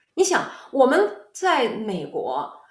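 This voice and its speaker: A woman's high voice moves through very wide pitch swings. Audible room echo surrounds it. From China, Xuzhou, Jiangsu. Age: 50s. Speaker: tech executive and lecturer. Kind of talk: interview. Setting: video call.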